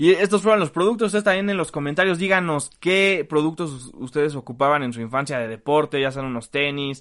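An unremarkable speaking voice moves at a fairly quick pace with hardly any pauses against a quiet background. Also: man, fairly high pitch for a man, lively intonation. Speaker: sports comedy podcast host. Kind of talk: casual comedic chat.

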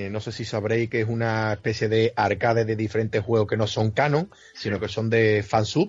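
A man speaks at a medium pitch and moderate pace. He has a normal speaking voice. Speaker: gamer. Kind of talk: casual chat.

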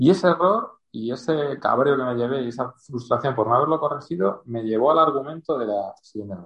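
At a fairly quick pace with hardly any pauses, a man speaks at medium pitch. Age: 40s. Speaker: novelist. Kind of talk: interview. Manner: halting.

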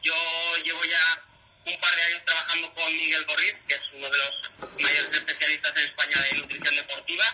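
With flat, monotone intonation and a fairly quick pace, a man talks at a high pitch over noticeable background noise. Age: 20s. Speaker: ultramarathon runner. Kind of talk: radio interview.

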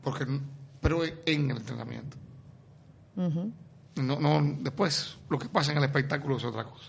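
A man with a fairly high pitch and vocal fry talks at a moderate pace with ordinary pitch variation, big swings in loudness and long, frequent pauses, with audible room echo. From Cuba. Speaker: essayist and art critic. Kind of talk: radio interview.

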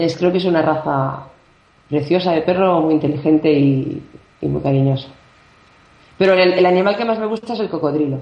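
The woman's voice is very deep and low, with ordinary pitch variation. She talks at a fairly quick pace with long, frequent pauses. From Barcelona, Spain. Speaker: singer-songwriter. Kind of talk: interview. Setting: phone call.

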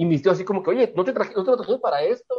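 This man's voice has a dark, mellow tone. His pitch sits high. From Tijuana, Mexico. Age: 30s. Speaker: communication professor and former folk singer. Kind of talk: casual interview chat.

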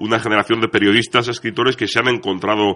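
A man speaks with a bright, sharp tone at a very fast pace. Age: young. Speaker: crime fiction author and editor. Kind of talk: radio interview.

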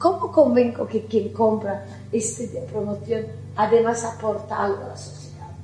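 In an Italian accent, a woman talks at a moderate pace with big swings in loudness, audible room echo and noticeable background noise. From Italy. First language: Italian (speaking Spanish). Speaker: architect. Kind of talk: conference talk.

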